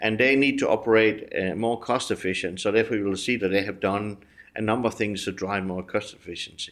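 A man with a Danish accent, fairly low pitch, fairly even intonation and a fairly quick pace, against a quiet background. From Denmark. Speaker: business executive. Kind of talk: interview. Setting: studio.

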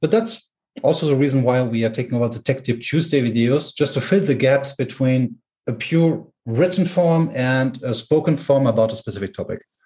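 Speaking with a German accent, a man uses a medium pitch and ordinary pitch variation at a fairly quick pace, his tone dark, mellow and somewhat breathy. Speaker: tech company product specialist. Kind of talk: technical explanation. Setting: home with garden noise.

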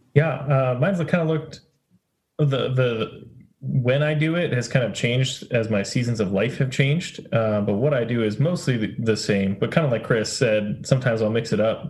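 At a moderate pace, a man with a medium pitch sounds somewhat breathy and shows ordinary pitch variation. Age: 30s. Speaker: campus ministry director. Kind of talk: casual group discussion.

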